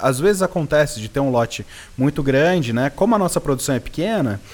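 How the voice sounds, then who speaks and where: Lively intonation and a fairly quick pace mark a normal speaking voice. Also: man. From Brazil, Serra da Mantiqueira (Minas Gerais). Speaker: coffee farmer. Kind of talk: interview.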